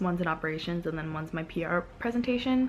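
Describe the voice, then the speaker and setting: Soft-spoken, this woman has a fairly low voice. She talks at a fairly quick pace. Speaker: vlogger, college student. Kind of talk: casual vlog talk.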